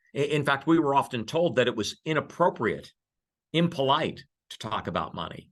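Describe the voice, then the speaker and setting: A man with vocal fry and a fairly high pitch speaks at a moderate pace, his intonation lively and his loudness swinging widely. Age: 60s. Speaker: investment firm speaker. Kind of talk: webinar presentation. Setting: online webinar. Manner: conversational, some hesitations.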